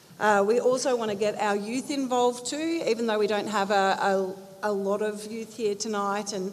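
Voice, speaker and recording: This woman's fairly high voice moves at a moderate pace with fairly even intonation. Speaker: community group presenter. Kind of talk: community meeting presentation. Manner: loud.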